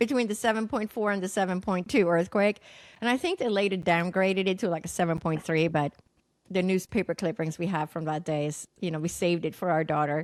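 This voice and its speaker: Speaking fairly quickly with a Swedish accent, a woman keeps a medium pitch with ordinary variation. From Sweden. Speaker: naturopathic doctor and psychic medium. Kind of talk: podcast interview, personal story.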